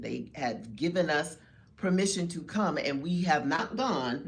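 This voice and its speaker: A woman speaks with a very deep, low pitch. Vocal fry runs through her voice. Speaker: podcast co-host. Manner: casual, talkative.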